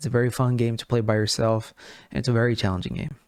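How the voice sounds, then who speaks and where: A man talks at a very fast pace with a non-native accent. The recording is very clean, with a silent background. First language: not English. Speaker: gaming news podcast host. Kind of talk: casual news commentary. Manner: halting, many fillers and restarts; animated.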